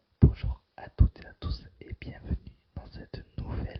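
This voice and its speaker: Someone whispers at a fairly slow pace. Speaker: gamer streamer. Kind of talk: ASMR gaming commentary. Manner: whispered.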